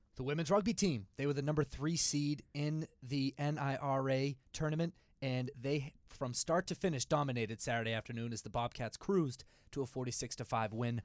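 At a fairly quick pace, an ordinary speaking voice moves with ordinary pitch variation. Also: man. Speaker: podcast co-host. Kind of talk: casual chat.

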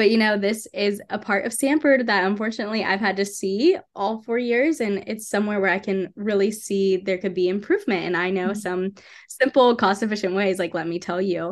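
A woman with a plain, everyday voice and an American accent speaks at a medium pitch with ordinary pitch variation and a fairly quick pace, with hardly any pauses, against a quiet background. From US South (Atlanta, Georgia). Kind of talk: testimony. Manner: casual, filler-heavy.

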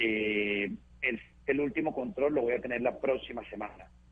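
A man's normal speaking voice at medium pitch, moderate in pace, with lively intonation. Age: 40s. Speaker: monkeypox survivor. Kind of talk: interview.

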